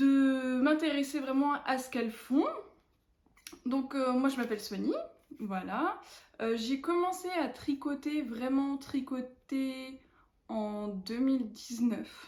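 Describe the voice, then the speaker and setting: Speaking at a very slow pace with long, frequent pauses, the voice shows ordinary pitch variation. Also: woman, high pitch for a woman. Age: 20s. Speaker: knitting vlogger. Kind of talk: casual chat. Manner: hesitant, many fillers.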